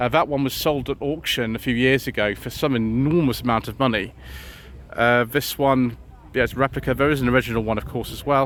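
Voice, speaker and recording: A man with an English accent mumbling at a fairly quick pace, medium in pitch, with fairly even intonation. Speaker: car vlogger. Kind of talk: casual walkaround commentary. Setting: outdoors at a car show.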